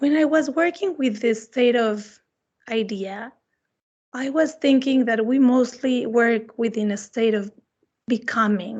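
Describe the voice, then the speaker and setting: A woman with a Spanish accent speaks in a high voice, and her pitch rises and falls in an ordinary way. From Mexico, Mexico City. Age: 30s. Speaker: visiting artist. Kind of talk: artist talk Q&A.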